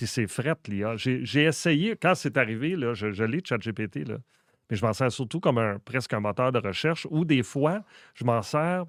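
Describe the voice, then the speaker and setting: A man speaks with a Quebec accent at a medium pitch. His intonation is lively, and the recording is very clean with a silent background. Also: moderate pace. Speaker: comedian and content creator. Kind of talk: casual interview chat.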